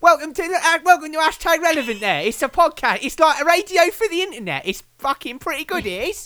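A man's extremely high, raised and projected voice in an English accent, bright and sharp in tone, with lively intonation, a very fast pace and hardly any pauses. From England. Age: 20s. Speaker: podcaster. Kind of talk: casual chat. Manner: animated.

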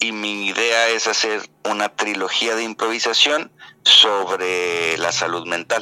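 A man speaks with a northwestern Mexican accent. His intonation is fairly even, and background noise is noticeable. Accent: northwestern Mexican Spanish (Sinaloa). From Mexico, Mazatlán, Sinaloa. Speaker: actor and theatre director. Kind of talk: casual interview chat.

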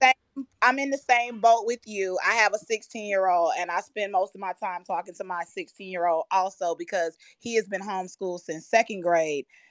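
A woman speaks at a moderate pace in an ordinary speaking voice, her pitch medium with ordinary variation. The sound is dry and close, with no echo. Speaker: audience participant in the finance field. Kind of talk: live audio room chat. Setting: live online audio room.

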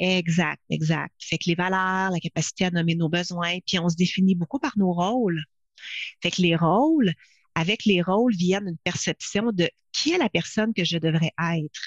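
A woman with an ordinary speaking voice, fairly low in pitch, talks at a moderate pace with ordinary pitch variation. The sound is dry and close with no echo, over a quiet background. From Quebec. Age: 50s. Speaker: leadership consultant and speaker. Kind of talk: interview.

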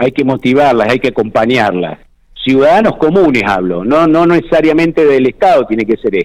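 A man with a Rioplatense accent at a medium pitch, with very wide pitch swings and very even loudness. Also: moderate pace. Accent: Argentine Spanish (rioplatense). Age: 60s. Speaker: provincial security minister. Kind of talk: radio interview. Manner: halting, many repetitions and fillers.

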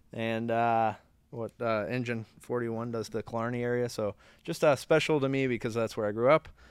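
The recording is very clean, with a silent background. A man has an ordinary speaking voice at a medium pitch, with fairly even intonation. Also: fairly quick pace. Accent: American. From Florida (Orlando). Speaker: podcast co-host, former fire truck manufacturer employee. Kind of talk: casual chat.

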